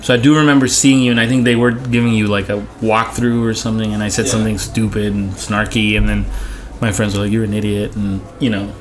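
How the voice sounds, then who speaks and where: Very fast speech with fairly even intonation over noticeable background noise. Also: man, fairly low pitch for a man. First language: not English. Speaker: art director. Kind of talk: casual chat. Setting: bar booth recording with drinks.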